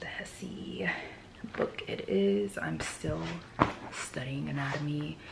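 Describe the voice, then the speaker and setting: A woman whispers amid noticeable background noise, with audible room echo. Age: 20s. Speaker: vlogger and student. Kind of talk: casual vlog talk while studying. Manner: whispering; soft-spoken.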